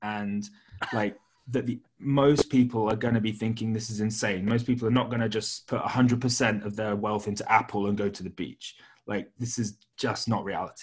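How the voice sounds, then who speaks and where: Speaking with a British accent, a man uses a fairly low pitch at a moderate pace. His intonation is monotone and flat. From Britain. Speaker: podcast host. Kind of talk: casual interview about markets. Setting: remote call.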